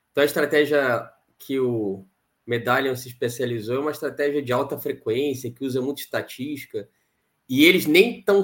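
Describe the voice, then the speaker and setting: With an ordinary speaking voice, a man at fairly high pitch talks at a moderate pace with ordinary pitch variation. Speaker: quantitative fund manager. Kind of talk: interview.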